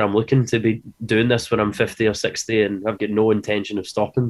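In a Scottish accent, a man speaks with fairly even intonation. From Scotland. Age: 30s. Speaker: metal drummer. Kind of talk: interview.

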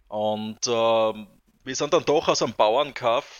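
Speaking at a moderate pace, a man uses a plain, everyday voice with medium pitch and fairly even intonation. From southern Styria, Austria. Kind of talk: casual interview chat.

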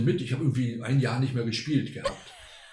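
A man speaking at a very fast pace, somewhat breathy and dark and mellow in tone, with fairly even intonation and audible room echo. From Argentina. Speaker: retired music professor and baroque flutist. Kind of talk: casual interview.

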